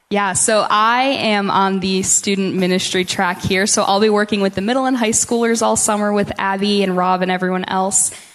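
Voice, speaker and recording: Through noticeable background noise, a woman speaks at medium pitch and a moderate pace, her intonation monotone and flat and her loudness very even. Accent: American. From Michigan, near Grand Rapids. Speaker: church ministry intern. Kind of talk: testimony. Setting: church.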